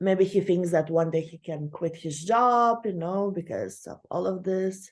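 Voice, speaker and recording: A woman with a non-native accent at medium pitch, lively intonation and a very slow pace, over a quiet background. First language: not English. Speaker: online course instructor. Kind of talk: lecture. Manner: halting, many fillers.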